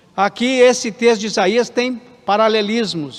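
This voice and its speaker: A man's extremely high-pitched voice at a moderate pace with ordinary pitch variation. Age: 60s. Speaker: pastor. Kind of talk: sermon. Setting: church.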